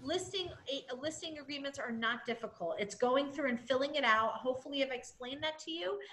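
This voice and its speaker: A woman's high-pitched voice at a fairly quick pace, over noticeable background noise. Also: ordinary pitch variation, hardly any pauses. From New England. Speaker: real estate trainer. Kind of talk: training webinar. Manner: energetic.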